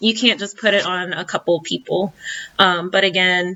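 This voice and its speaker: Speaking at a fairly quick pace, a woman with a Southern US accent talks at a medium pitch. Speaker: YouTuber reviewing a reality show. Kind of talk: casual vlog commentary. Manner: hesitant with many fillers.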